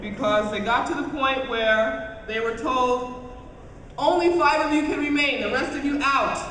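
At a fairly slow pace, a woman speaks high-pitched with ordinary pitch variation, amid audible room echo and light background noise. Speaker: convention panel host. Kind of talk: live convention panel. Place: hall.

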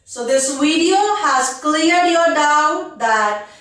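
A woman with an Indian accent talks at a very slow pace in a high pitch, with ordinary pitch variation. There is audible room echo, but the background is quiet. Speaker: English exam coach. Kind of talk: tutorial. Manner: direct, instructive. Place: studio.

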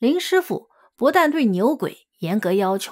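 The recording is very clean with a silent background. The speaker goes at a fairly slow pace with very wide pitch swings. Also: woman. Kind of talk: audiobook reading of a memoir, scripted narration.

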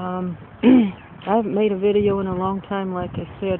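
Dry sound with no echo, plus noticeable background noise. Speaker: home vlogger. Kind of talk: casual vlog chat. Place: garden. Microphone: phone near.

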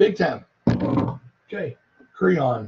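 Light background noise sits behind a man with a Southern US accent. His voice is somewhat breathy, and he speaks at a moderate pace. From US South. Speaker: health product reviewer. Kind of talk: live stream demonstration.

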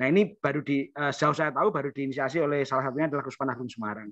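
A man with a bright, sharp tone and a fairly high pitch talks at a very fast pace. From Kudus, Central Java. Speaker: doctor, participant. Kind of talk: online seminar discussion.

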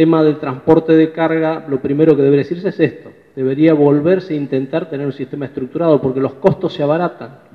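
Delivered at a fairly quick pace, this is a plain, everyday voice with fairly even intonation. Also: man. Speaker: union leader and railway engineer. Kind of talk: workshop presentation.

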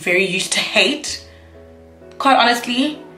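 Faint music plays behind a woman speaking. Her pitch varies in an ordinary way, and the room echo is audible. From South Africa. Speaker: YouTuber, university student. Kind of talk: casual talk to camera. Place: home room. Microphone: camera far.

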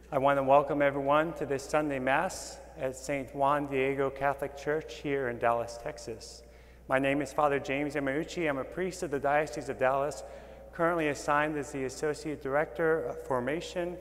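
At a fairly quick pace, a man talks with monotone, flat intonation. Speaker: priest celebrating Mass. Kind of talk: liturgical greeting and prayer. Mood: calm, reverent. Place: church. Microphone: lapel.

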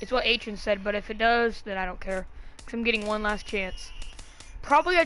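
A woman has a plain, everyday voice with a fairly high pitch and ordinary pitch variation. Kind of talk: casual gaming chat while opening card packs. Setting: home recording of a video game. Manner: casual, thinking aloud, rambling and excitable.

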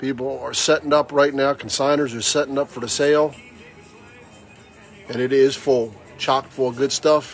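Over faint background music, a man speaks at a moderate pace in a fairly high, monotone, flat voice with long, frequent pauses, the sound dry with no echo. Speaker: auctioneer / antiques dealer hosting a tailgate auction. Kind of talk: casual talk to camera, promotional video announcement. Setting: outdoors at an auction venue. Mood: upbeat, inviting. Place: market. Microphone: phone near.

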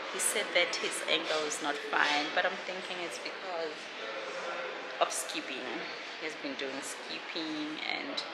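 A woman talks at a fairly slow pace against loud background noise. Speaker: vlogger. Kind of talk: casual vlog chat. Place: hall. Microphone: phone near.

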